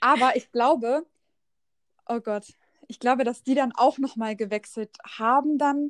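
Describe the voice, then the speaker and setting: Speaking at a fairly slow pace with long, frequent pauses, a woman with a high pitch comes through in a dry, close sound with no echo. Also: fairly even intonation. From Lower Saxony, near Hannover. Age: 20s. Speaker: social media entrepreneur. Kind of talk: casual chat.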